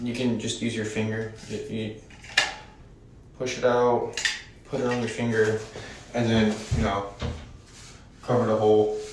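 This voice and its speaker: With a monotone, flat intonation and long, frequent pauses, a man at a medium pitch speaks at a moderate pace amid audible room echo and noticeable background noise. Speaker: maintenance worker vlogger. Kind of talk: casual vlog while working. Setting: empty apartment while working. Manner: many filler ums. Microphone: echoey room.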